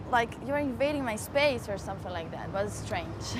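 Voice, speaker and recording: A woman speaks amid noticeable background noise. Room echo is audible. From Brazil, Rio de Janeiro. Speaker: interviewee. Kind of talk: street interview.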